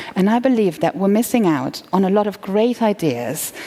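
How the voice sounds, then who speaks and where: Amid noticeable background noise, a woman speaks at a moderate pace with very wide pitch swings. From Germany. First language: German. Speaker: entrepreneur. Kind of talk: conference talk. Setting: stage with audience.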